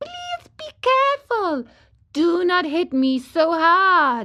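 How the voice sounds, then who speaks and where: Using a put-on character voice, a woman speaks at an extremely high pitch with very wide pitch swings and a fairly slow pace. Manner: beseeching, pleading.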